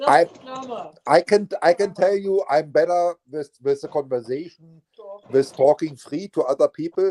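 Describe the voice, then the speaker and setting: A man with a German accent, a dark, mellow tone and ordinary pitch variation at a moderate pace, in a dry, close sound with no echo. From eastern Germany. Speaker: live stream host. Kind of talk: casual chat.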